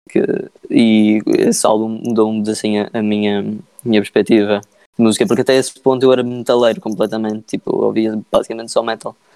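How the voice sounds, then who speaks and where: Monotone, flat intonation marks this man's medium-pitched, dark, mellow voice at a fairly quick pace. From Madeira, Portugal. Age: 20s. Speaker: musician. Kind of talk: casual interview. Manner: halting, many fillers.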